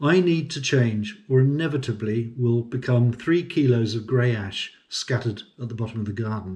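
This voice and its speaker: Somewhat breathy, a man talks with a British accent. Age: 60s. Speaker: semi-retired farm manager and consultant. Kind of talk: personal vlog monologue.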